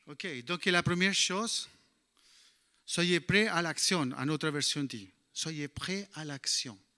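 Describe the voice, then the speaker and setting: Speaking at a very slow pace, a man with a non-native accent has a fairly high pitch and a bright, sharp tone. His pitch variation is ordinary, and the recording is very clean with a silent background. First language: English (speaking French). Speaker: bible teacher. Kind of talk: sermon. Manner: halting.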